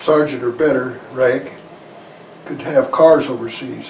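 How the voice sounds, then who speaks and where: A man talks with an American accent and fairly even intonation. Noticeable background noise is present. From Idaho, USA. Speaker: war veteran; farmer. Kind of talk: interview answer.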